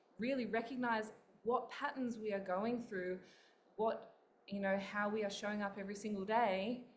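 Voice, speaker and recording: A woman with an Australian accent speaks at a moderate pace in a fairly high pitch, with audible room echo and noticeable background noise. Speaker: author and spiritual coach. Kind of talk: interview.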